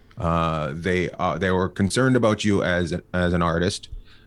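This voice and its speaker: On a very clean recording with a silent background, a man with a slight Canadian accent speaks at a fairly slow pace in a very deep, low pitch with fairly even intonation. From Canada, near Alaska. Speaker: stand-up comedian. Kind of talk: casual interview chat.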